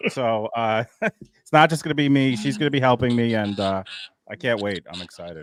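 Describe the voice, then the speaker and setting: In a New York accent, a man talks at a moderate pace and medium pitch, the sound dry and close with no echo. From Long Island, New York. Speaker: YouTube creator. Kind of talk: casual chat.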